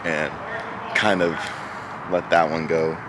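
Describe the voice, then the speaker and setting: Very slow pace from a man in a dry sound with no echo, with noticeable background noise. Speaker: powerlifter vlogger. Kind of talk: casual vlog chat. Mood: proud but a bit unsettled. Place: street. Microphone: phone near.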